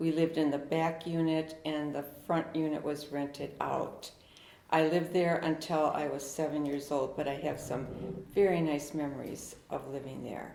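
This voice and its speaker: A woman with an American accent speaks in a very deep, low voice at a moderate pace. Her intonation is monotone and flat, with audible room echo. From US Midwest, Milwaukee's Bay View. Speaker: longtime local resident. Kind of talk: oral history interview. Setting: historic house, in person.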